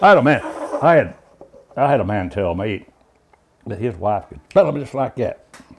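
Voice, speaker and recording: In a Kentucky accent, a man with a medium pitch talks at a moderate pace, his pitch swinging very widely and his loudness shifting greatly, with long, frequent pauses. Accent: Southern US, Kentucky. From rural Kentucky. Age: 70s. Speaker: backwards speller. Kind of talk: casual interview answer.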